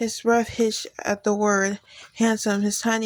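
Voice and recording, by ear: A natural voice is used here. The text is read aloud.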